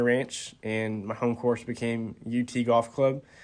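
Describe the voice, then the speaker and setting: Over a quiet background, the speaker talks at a fairly slow pace in a monotone, flat intonation with an American accent. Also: man. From Texas, Austin. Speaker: college golfer. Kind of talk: interview answers. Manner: hesitant, many fillers.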